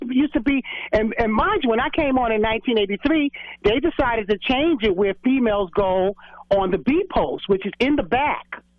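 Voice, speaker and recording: The delivery moves along fairly quickly. It comes in a New York accent. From New York City, Brooklyn. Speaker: former correction officer. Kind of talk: radio interview.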